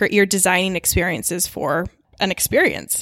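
A normal speaking voice moves at a moderate pace. The sound is dry and close with no echo, on a very clean recording with a silent background. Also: woman. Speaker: design professional. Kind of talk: casual chat. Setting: studio.

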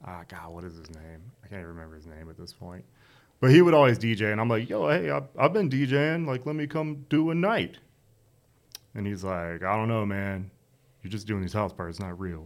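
On a very clean recording with a silent background, a man with a fairly low pitch talks at a fairly quick pace, his pitch swinging very widely and his loudness in big swings. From North Carolina. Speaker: DJ. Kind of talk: casual chat.

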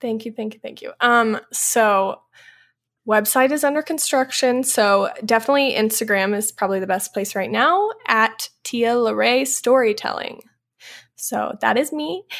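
Captured in a very clean recording with a silent background, a woman with a plain, everyday voice speaks fairly slowly at a fairly high pitch with ordinary pitch variation. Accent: American. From US Midwest, small-town southern Illinois. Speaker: photographer and videographer. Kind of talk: casual chat.

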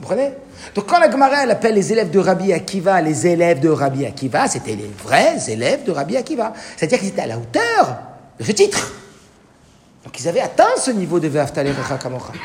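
A man talks at a fairly quick pace in a high voice with very wide pitch swings. Noticeable background noise and audible room echo fill the recording. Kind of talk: lecture. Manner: informal, interactive.

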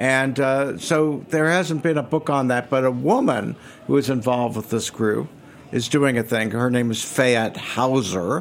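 Here a man talks at a fairly slow pace in an ordinary speaking voice. His pitch is medium, with ordinary pitch variation. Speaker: guest. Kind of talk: casual chat.

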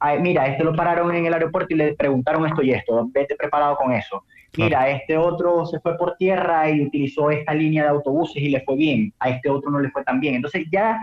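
This man talks at a very fast pace with hardly any pauses, his fairly high pitch carried in fairly even intonation at very even loudness. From Venezuela, Maracaibo. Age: 20s. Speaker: prospective emigrant. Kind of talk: casual conversation.

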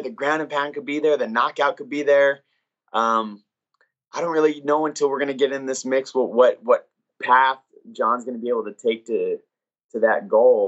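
Fairly high male voice at a moderate pace with ordinary pitch variation. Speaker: coach. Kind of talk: interview. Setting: video call.

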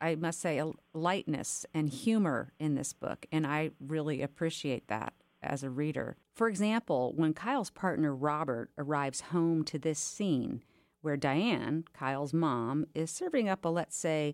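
A woman speaks fairly slowly in a very deep, low voice with lively intonation. The recording is very clean and dry, close with no echo, over a silent background. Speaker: podcast host. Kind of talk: interview conversation.

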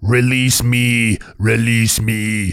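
Using a put-on character voice, a man speaks at a medium pitch in a monotone with flat intonation. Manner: pleading, strange alien delivery.

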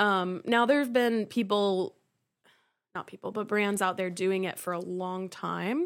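A woman with a normal speaking voice at medium pitch, ordinary pitch variation, and a fairly slow pace on a very clean recording with a silent background. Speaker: guest co-host, host's childhood friend. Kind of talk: casual chat.

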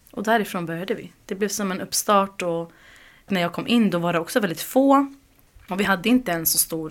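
Her intonation lively, a woman at medium pitch talks in a normal speaking voice. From Uppsala, Sweden. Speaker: community group organizer. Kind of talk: interview.

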